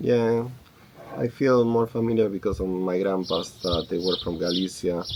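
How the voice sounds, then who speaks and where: Here a man speaks at a moderate pace with a Spanish accent. His pitch is very deep and low. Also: ordinary pitch variation. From Argentina. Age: 30s. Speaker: homesteader and YouTuber. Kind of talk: casual Q&A chat.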